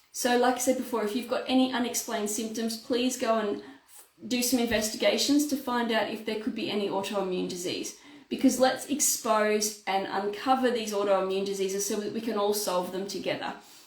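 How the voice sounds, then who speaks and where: A woman with a fairly high pitch speaks at a fairly quick pace, with hardly any pauses and ordinary pitch variation. Audible room echo and noticeable background noise are present. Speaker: naturopath. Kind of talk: health talk to camera. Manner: fast.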